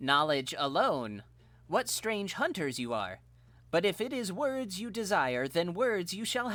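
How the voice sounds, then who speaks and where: A man uses a robotic, put-on character voice at a high pitch with very wide pitch swings. His pace is fairly slow. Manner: aloof, mocking.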